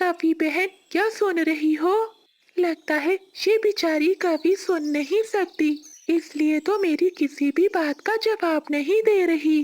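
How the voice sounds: An extremely high-pitched cartoonish character voice speaks at a fairly slow pace.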